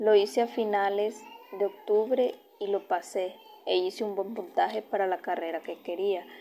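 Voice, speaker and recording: A woman talks with fairly even intonation. Background noise is noticeable. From Honduras, Olanchito. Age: 20s. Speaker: university student. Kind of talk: personal autobiography narration.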